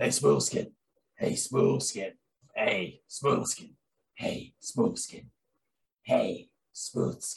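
Putting on a gravelly character voice, a man speaks at a very slow pace with long, frequent pauses. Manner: gravelly, mimicking a game character.

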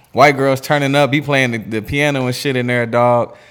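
Speaking fairly quickly with an American accent, a man uses a normal speaking voice at medium pitch and fairly even intonation. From Erie, Pennsylvania and St. Louis. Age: 30s. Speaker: podcast host. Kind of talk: casual chat.

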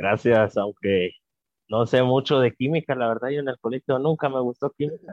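A man has an unremarkable speaking voice. He talks at a moderate pace with ordinary pitch variation. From Guatemala. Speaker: podcast host. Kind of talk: interview.

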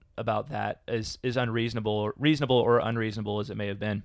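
A man is talking. His pace is very fast. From Kentucky, Louisville. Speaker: podcast co-host. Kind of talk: casual chat. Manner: halting, many fillers.

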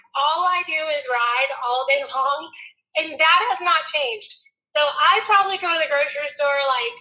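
A woman's raised, projected voice, high in pitch, bright, sharp and energetic in tone, with ordinary pitch variation at a moderate pace. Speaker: horse trainer and barrel racer. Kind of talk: casual chat.

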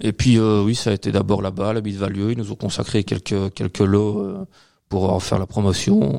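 An unremarkable speaking voice from a man, fairly low in pitch, with fairly even intonation at a moderate pace, in a dry, close sound with no echo. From Belgium, Liège region (Waremme). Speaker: beer importer and beer specialist. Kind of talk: casual chat. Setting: studio, filmed podcast recording.

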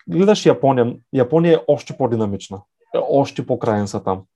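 A man at medium pitch, dark and mellow in tone, at a moderate pace over a quiet background. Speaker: startup growth manager. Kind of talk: interview. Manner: halting.

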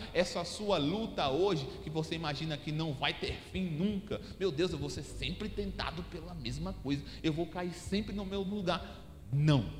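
Audible room echo and noticeable background noise surround a man with a fairly high pitch and ordinary pitch variation, talking at a fairly slow pace. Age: 30s. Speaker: pastor. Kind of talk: sermon.

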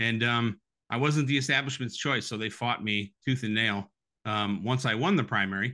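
Speaking with a Midwestern American accent, a man uses a medium pitch, ordinary pitch variation and a moderate pace. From Toledo, Ohio. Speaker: former congressional candidate. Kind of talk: political interview. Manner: halting, repeats words.

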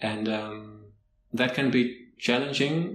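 Speaking at a very slow pace, a man talks in a Dutch accent. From Netherlands. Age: 20s. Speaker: podcast guest. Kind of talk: interview.

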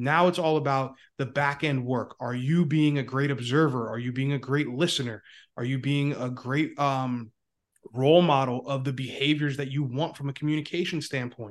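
An unremarkable speaking voice with an American accent moves at a moderate pace. The intonation is fairly even, and the background is quiet. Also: man, fairly high pitch for a man. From Northeast Pennsylvania. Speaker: leadership coach. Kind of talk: interview.

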